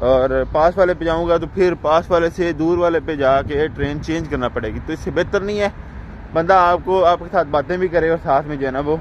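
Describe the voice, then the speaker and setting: Over light background noise, a man speaks at a moderate pace with fairly even intonation and hardly any pauses, in a dry sound with no echo. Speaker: vlogger. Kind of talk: casual vlog chat. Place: street. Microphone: phone near.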